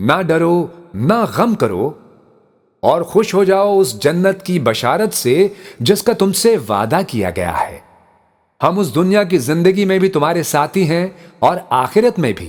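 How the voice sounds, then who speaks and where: Lively intonation marks this man's high-pitched speech. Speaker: voice-over narrator. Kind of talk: religious scripture translation reading.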